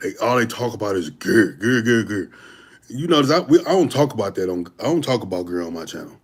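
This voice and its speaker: With lively intonation and an animated tone, a man speaks in an American accent. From St. Louis, Missouri. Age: 40s. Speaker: fitness YouTuber. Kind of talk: livestream Q&A. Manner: casual, animated.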